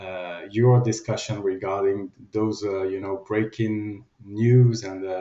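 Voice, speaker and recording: A man with a French accent speaks at a very slow pace in a fairly low, monotone, flat voice. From France. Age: 50s. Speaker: company general manager. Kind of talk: interview.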